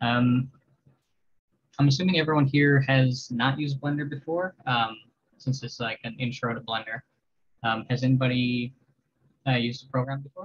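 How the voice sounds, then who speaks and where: A somewhat breathy man's voice at a medium pitch, moderate pace and fairly even intonation, with long, frequent pauses. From Labrador, Canada. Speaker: visual artist and workshop instructor. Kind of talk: tutorial. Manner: hesitant.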